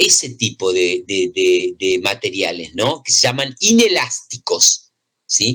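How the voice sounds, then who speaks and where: His pitch swings very widely as this man talks. The delivery comes at a fairly slow pace. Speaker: physics teacher. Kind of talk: lecture.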